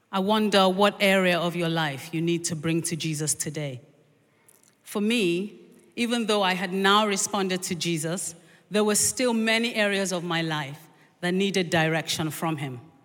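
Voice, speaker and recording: Speech comes at a moderate pace with ordinary pitch variation. Audible room echo surrounds the voice. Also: woman, fairly low pitch for a woman. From Nigeria, born in London to Nigerian and Jamaican parents. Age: middle-aged. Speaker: preacher. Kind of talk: sermon.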